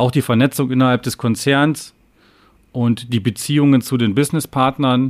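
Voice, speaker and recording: The recording is very clean, with a silent background. In it, a man talks with ordinary pitch variation. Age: 30s. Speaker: company executive. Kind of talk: interview. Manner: halting, many fillers.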